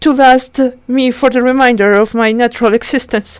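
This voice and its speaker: A woman with a non-native accent speaks at a high pitch and a fairly slow pace. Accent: non-native, weak pronunciation. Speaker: amateur audiobook reader. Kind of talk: reading aloud. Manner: halting, with self-corrections.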